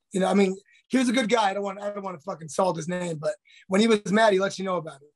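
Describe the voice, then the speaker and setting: A high-pitched man rattles along at a very fast pace while his intonation stays fairly even. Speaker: retired MMA fighter. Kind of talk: casual interview. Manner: halting, many repetitions and fillers.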